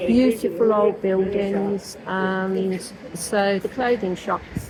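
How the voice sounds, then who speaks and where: A woman speaks at a very slow pace with a Birmingham accent. Her intonation is fairly even, and noticeable background noise is present. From Birmingham, England. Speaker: local resident interviewed on the street. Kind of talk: casual street interview.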